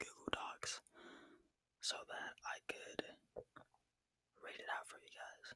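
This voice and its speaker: A man whispering in a relaxed tone. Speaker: ASMR creator. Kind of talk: ASMR storytelling to camera, casual and unscripted. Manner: soft-spoken, relaxed, conversational.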